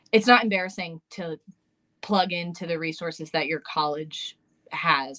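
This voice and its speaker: A woman's very deep, low voice, bright and sharp in tone, dry and close with no echo. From New York. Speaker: special education teacher. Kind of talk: casual interview. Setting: live stream video call. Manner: fast; hesitant, many fillers.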